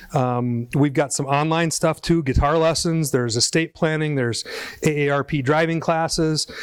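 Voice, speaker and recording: A man with a fairly high pitch and an American accent, speaking at a moderate pace. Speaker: school community education director. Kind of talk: event welcome speech.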